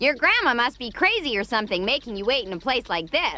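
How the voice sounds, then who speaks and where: A female-sounding, cartoonish character voice with a high pitch. The words come out at a very fast pace. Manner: blunt, sharp, scolding.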